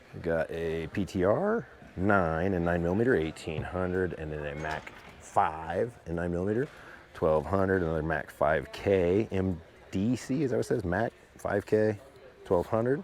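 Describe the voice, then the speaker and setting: A man with a very deep, low pitch speaks at a moderate pace in an enthusiastic tone. His pitch varies in an ordinary way, and noticeable background noise sits behind him. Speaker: gun show video blogger. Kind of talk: walkthrough commentary. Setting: indoor gun show hall. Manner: casual, enthusiastic.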